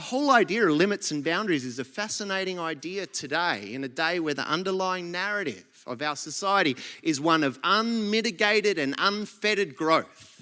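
A man with an Australian accent speaks at a fairly quick pace in a high pitch. His intonation is lively, and his tone is bright and sharp. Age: 40s. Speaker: pastor. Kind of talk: sermon.

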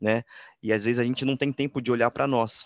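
Over a quiet background, a man with an unremarkable speaking voice talks at a fairly quick pace, at medium pitch and with fairly even intonation. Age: 20s. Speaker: podcast host. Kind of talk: casual interview.

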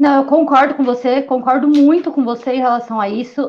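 Here a woman talks at a fairly quick pace. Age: 20s. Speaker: sports journalist. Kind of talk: casual interview chat.

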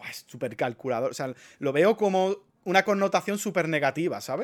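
Recorded very cleanly against a silent background, a man speaks at a fairly quick pace in an animated tone with lively intonation. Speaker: content creator. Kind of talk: casual monologue. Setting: live stream.

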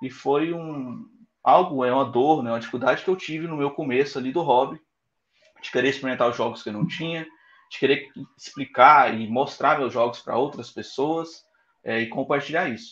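In a normal speaking voice, a man talks at a moderate pace and fairly high pitch, with ordinary pitch variation and big swings in loudness. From Goiânia, central-west Brazil. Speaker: app founder, software engineer. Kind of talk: interview.

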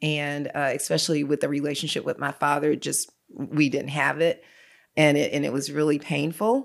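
Vocal fry and monotone, flat intonation mark this moderately paced speech on a very clean recording with a silent background. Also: woman, very deep, low pitch for a woman. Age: 60s. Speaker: pastor. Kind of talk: testimony.

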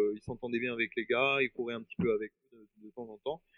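A man with an unremarkable speaking voice at medium pitch, fairly quick, with ordinary pitch variation. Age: 40s. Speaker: triathlete and paratriathlon guide. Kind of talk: interview.

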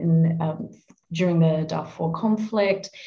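Her voice is dark and mellow, somewhat breathy, and fairly low in pitch. She is a woman speaking with an Australian accent. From Australia, Adelaide. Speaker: UN communications manager, former journalist. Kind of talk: interview.

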